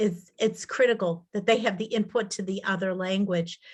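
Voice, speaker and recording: With an American accent, a woman speaks in a normal speaking voice at a moderate pace, with ordinary pitch variation and a quiet background. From Massachusetts. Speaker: linguist. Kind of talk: Q&A after a talk.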